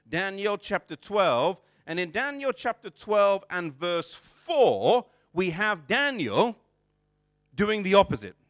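Over a quiet background, a man with a British accent speaks very slowly in a high pitch. His intonation is lively. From England, child of immigrant parents. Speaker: preacher. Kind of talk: sermon. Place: church. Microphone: lapel.

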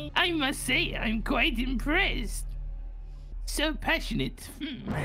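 A female-sounding voice in a put-on character voice speaks high in pitch at a fairly slow pace, with clear background noise.

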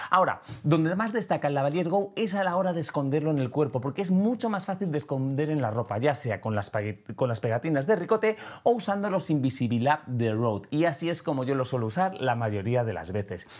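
A man's fairly high voice with very wide pitch swings, at a fairly quick pace against a quiet background. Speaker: photography and video educator; video educator. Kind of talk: tutorial. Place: studio. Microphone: lapel.

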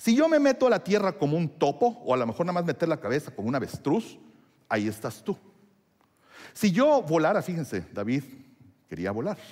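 A man speaks with a high pitch and very wide pitch swings at a fairly quick pace. He leaves long, frequent pauses. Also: quiet background. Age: 50s. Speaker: pastor; preacher. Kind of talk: sermon. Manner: halting. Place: church.

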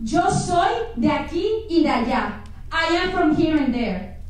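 Strong room echo surrounds a woman speaking at an extremely high pitch. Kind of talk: spoken word poetry. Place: stage. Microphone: pa.

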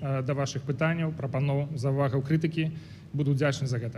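A man with a fairly high pitch, a dark, mellow tone, and a somewhat breathy quality, at a moderate pace with monotone, flat intonation and audible room echo. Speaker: opposition politician, diplomat. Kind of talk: formal speech. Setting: conference stage with audience.

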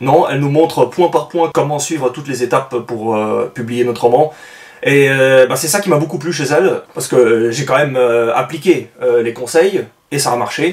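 Male voice, medium tempo, normal rise and fall in pitch. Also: fairly high pitch for a man. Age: 30s. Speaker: aspiring novelist and book reviewer vlogger; book reviewer vlogger. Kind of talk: book review monologue. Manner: hesitant with frequent fillers. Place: home room.

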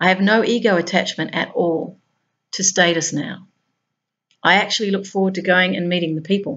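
Against a quiet background, a woman talks in an Australian accent. Her pace is fairly quick and her intonation fairly even. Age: 50s. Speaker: spiritual blogger. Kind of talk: reading aloud; monologue. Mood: calm, reflective. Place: home room.

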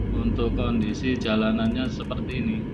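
A man speaking at a fairly slow pace over loud background noise. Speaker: driver vlogger. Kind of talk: casual vlog commentary. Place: car. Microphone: phone near.

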